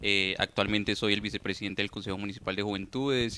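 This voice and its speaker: A man's voice with a bright, sharp tone. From Colombia, Antioquia (Urrao). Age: 20s. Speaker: youth leader. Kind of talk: interview. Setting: studio. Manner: hesitant, many fillers.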